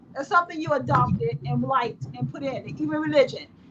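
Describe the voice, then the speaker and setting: A woman speaks at a moderate pace in a high, animated voice over noticeable background noise. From United States. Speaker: gaming podcast co-host. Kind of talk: heated debate. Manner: loud.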